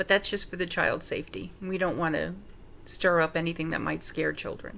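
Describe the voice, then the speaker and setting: A woman with an American accent speaks fairly quickly in a fairly low, bright, sharp voice with vocal fry and fairly even intonation, on a very clean recording with a silent background. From New York City (Manhattan). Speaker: paranormal investigator. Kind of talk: self-introduction. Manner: halting.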